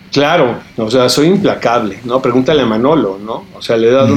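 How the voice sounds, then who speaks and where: Here is a man with a normal speaking voice at a medium pitch. He moves at a moderate pace with lively intonation. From Tijuana, northern Mexico border. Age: 50s. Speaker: film critic and TV interviewer. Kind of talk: casual interview chat.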